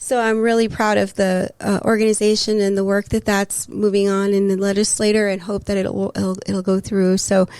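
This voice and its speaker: A woman with an American accent speaks at a moderate pace and medium pitch, in a monotone, flat intonation with very even loudness and hardly any pauses. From Texas, El Paso. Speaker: city councilor and mental health worker. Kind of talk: casual interview chat. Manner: halting, many fillers.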